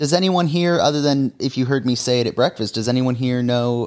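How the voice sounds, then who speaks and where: A man with an ordinary speaking voice talks at a medium pitch and moderate pace, with ordinary pitch variation. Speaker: camera operator and guest. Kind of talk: casual chat.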